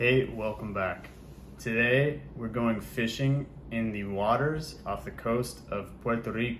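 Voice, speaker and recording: Very slowly, a man speaks at medium pitch in a somewhat breathy voice with lively intonation. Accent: American. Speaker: English teacher. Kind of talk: slow, clear English learning vlog. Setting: outdoors. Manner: slow, clear.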